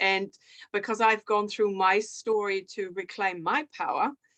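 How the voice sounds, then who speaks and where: Against a quiet background, a woman with a German accent speaks at a moderate pace, her fairly high voice bright and sharp in tone. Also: dry, close sound with no echo. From Germany. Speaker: author and women's coach. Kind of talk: interview. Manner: hesitant with filler words.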